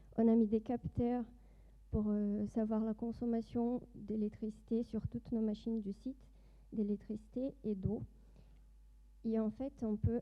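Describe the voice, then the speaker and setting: A very slow, monotone, flat delivery in a Brazilian accent. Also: woman. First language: Portuguese (speaking French). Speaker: doctoral student and industry project manager. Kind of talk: conference presentation. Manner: hesitant, many fillers.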